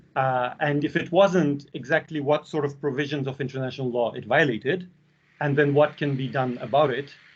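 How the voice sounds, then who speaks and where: A man talks with a Russian accent at a moderate pace. His pitch is fairly high. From Belarus. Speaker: university lecturer. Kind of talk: lecture.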